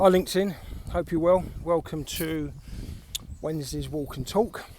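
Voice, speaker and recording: At a moderate pace, a man speaks with a South East London accent. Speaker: creative recruiter, former art director. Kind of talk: casual talk to camera. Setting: outdoors, windy.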